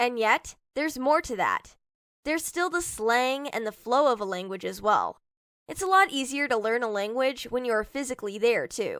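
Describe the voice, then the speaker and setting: On a very clean recording with a silent background, a woman speaks at a moderate pace in a high pitch with lively intonation. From Hong Kong. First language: Cantonese. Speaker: IELTS speaking sample candidate. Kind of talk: scripted mock exam interview.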